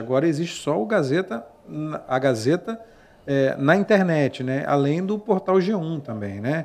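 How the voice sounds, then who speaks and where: A man with an unremarkable speaking voice talks at a fairly high pitch, his intonation lively. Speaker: podcast host. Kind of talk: interview. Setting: studio.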